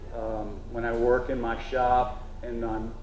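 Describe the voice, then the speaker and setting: The room echo is audible. There is noticeable noise in the background. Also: man. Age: 60s. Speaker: traditional cooper, craftsman. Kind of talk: festival panel talk. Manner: halting, many fillers.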